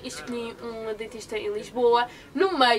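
A woman speaks over light background noise. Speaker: vlogger. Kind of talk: casual vlog chat. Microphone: phone near.

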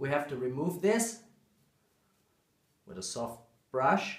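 A man's medium-pitched voice at a slow pace with lively intonation.

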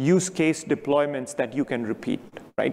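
The voice belongs to a man. Ordinary pitch variation marks his speech. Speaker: keynote speaker. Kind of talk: keynote talk. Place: stage.

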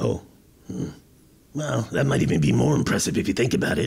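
A man uses a raspy, cartoonish character voice with a very deep, low pitch. He speaks at a fairly quick pace with very wide pitch swings. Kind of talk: comedy podcast banter. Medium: puppet.

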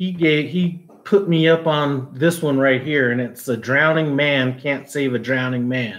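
A man's fairly high voice at a fairly slow pace, with ordinary pitch variation. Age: 40s. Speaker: cooking YouTuber; cooking channel host. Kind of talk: live stream Q&A. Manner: casual, filler-heavy. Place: home room. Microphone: phone near.

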